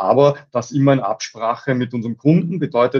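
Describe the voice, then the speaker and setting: Intonation stays fairly even. The sound is dry and close, with no echo. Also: man. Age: 40s. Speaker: company managing director. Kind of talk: interview. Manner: halting, many fillers.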